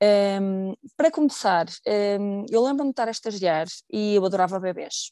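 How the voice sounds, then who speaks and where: A woman's dark, mellow voice in a European Portuguese accent, medium in pitch with ordinary pitch variation and long, frequent pauses. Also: moderate pace, dry, close sound with no echo. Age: 30s. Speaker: pharmacist sharing infertility story. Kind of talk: personal testimony interview. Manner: hesitant, with fillers and repetitions.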